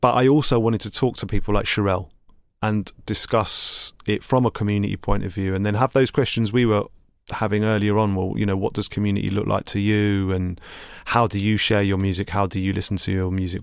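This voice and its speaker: A man with a London accent speaks with fairly even intonation on a very clean recording with a silent background. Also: fairly low pitch for a man, fairly quick pace. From East London (Hackney). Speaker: DJ and producer. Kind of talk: interview conversation.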